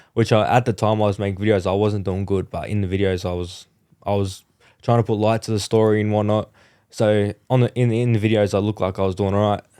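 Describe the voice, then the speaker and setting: An Australian accent at a very fast pace, dark and mellow in tone, with monotone, flat intonation on a very clean recording with a silent background. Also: man. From Central Coast, Australia. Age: 20s. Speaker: motorbike accident survivor, motivational speaker. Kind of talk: interview answer. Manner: casual, candid.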